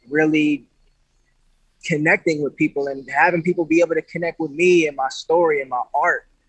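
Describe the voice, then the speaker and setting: With an American accent, a man speaks at a moderate pace in a fairly high, monotone, flat voice, leaving long, frequent pauses. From Grand Rapids, Michigan, US Midwest. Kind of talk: casual interview.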